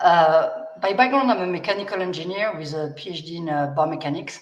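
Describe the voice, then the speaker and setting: With a strong French accent, a woman with a fairly low pitch talks at a fairly quick pace amid audible room echo. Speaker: biomechanics researcher. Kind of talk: panel discussion. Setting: livestream.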